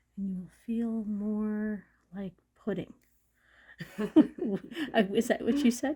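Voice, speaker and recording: A woman speaks in a relaxed tone with a fairly high pitch and ordinary pitch variation. Her voice is somewhat breathy, with a dark, mellow tone. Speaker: registered massage therapist. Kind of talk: soft-spoken ASMR massage talk. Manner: soft-spoken, relaxed.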